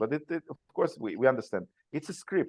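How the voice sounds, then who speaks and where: His accent is non-native. This man's speech moves fairly quickly. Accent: foreign. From Soviet Union. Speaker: father's rights activist, former attorney. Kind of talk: podcast interview. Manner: halting, many repetitions and fillers.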